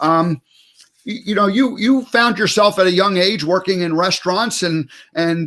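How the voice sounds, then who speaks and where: The speaker is a man with a high voice. He goes at a moderate pace with ordinary pitch variation. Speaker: talk show host. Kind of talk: interview. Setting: live broadcast. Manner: halting.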